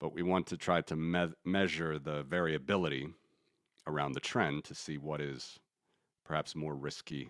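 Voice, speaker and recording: A man's very deep, low voice with vocal fry, fairly even intonation and long, frequent pauses. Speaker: finance streamer, market analyst. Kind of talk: live stream chart analysis. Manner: fast; casual, conversational.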